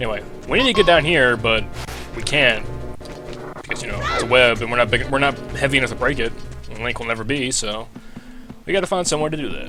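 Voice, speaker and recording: The speaker mumbles at a very fast pace with long, frequent pauses and big swings in loudness. Pitch variation is ordinary, and music plays in the background. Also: man. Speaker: let's play gamer. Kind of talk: casual gameplay commentary. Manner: mumbling, fast.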